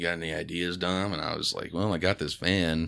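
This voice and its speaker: Over a very clean recording with a silent background, a man speaks at a moderate pace with a bright, sharp tone, vocal fry and ordinary pitch variation. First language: Spanish. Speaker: stand-up comedian. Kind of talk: casual chat. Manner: casual, halting with fillers.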